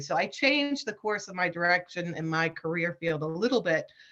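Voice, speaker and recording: A woman with a fairly low pitch and a bright, sharp tone talks at a fairly quick pace. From Washington DC. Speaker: federal human resources specialist. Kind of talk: webinar presentation. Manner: fast.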